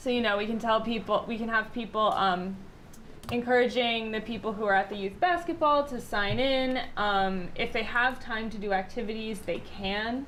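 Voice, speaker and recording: Speech at a moderate pace with ordinary pitch variation is heard through audible room echo. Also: woman, fairly high pitch for a woman. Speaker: town planning consultant. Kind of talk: public meeting presentation. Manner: loud; hesitant, many fillers.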